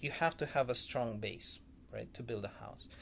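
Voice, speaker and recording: A somewhat breathy man's voice in a very clean recording with a silent background. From former Soviet Union. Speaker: vlogger. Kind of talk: casual talk-to-camera monologue. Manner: hesitant, many fillers.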